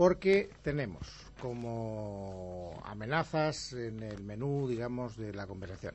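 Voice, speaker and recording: A somewhat breathy male voice. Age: 50s. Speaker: radio host. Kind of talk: late-night radio film chat. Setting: radio studio.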